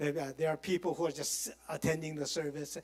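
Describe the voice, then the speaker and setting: A man with a Korean accent speaks with ordinary pitch variation. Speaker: pastor teaching a Bible study. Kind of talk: Bible study lecture. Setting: church. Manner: halting, with many fillers.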